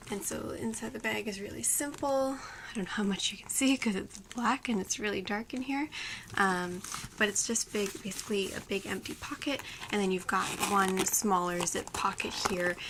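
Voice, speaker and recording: Whispering and soft-spoken, a woman talks at a moderate pace against noticeable background noise. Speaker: beauty and fashion vlogger. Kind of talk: product review. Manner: whispering, soft; hesitant, many fillers.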